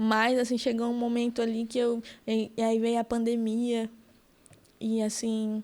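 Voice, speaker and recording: Her voice fairly high and her loudness very even, a woman speaks at a fairly slow pace in a flat monotone, with long, frequent pauses. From Amazonas interior, Brazil (Benjamin Constant). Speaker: political activist, communication student. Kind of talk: podcast interview.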